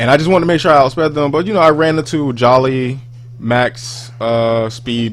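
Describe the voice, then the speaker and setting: Music plays in the background as a man talks at a fairly quick pace. His pitch variation is ordinary. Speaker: gaming YouTuber. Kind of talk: gameplay commentary. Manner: loud; rambling, halting with fillers.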